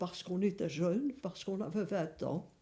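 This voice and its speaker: The woman's voice is somewhat breathy. Her tone sounds dark and mellow. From Belgium, Verviers (Wallonia). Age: 80s+. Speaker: elderly interviewee, grandmother. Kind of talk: documentary interview, reminiscing. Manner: hesitant, with frequent fillers.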